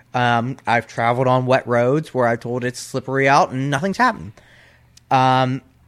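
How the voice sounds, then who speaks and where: A man with an American accent talks at a moderate pace and medium pitch, recorded very cleanly against a silent background. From Pennsylvania. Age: 20s. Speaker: professional wrestler. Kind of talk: casual chat. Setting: studio.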